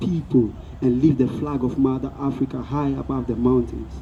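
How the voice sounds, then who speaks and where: An ordinary speaking voice, talking at a moderate pace. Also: man. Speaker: comedian, spoken word performer. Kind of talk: live comedy spoken word performance. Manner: declamatory, rousing.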